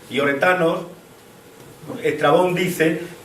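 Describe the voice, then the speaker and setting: A man speaks at a fairly slow pace in a monotone, flat delivery, with noticeable background noise and audible room echo. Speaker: local history speaker on archaeology. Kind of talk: public talk to an audience. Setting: hall with audience, microphone. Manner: halting.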